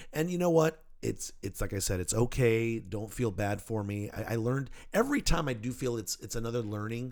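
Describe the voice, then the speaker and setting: A man talks in a normal speaking voice at a medium pitch with ordinary pitch variation. His pace is fairly quick, and the recording is very clean with a silent background. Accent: American. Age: 50s. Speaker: podcast host. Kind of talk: casual chat. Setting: studio.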